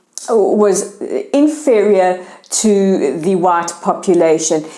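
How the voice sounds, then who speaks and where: A woman's medium-pitched voice in a South African accent, with very wide pitch swings, over noticeable background noise. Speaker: news show host. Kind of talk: news commentary.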